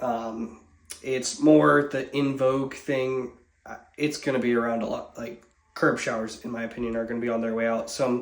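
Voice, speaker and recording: Amid audible room echo, a man talks at a moderate pace with fairly even intonation. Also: medium pitch for a man. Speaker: building contractor. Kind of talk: casual walkthrough video.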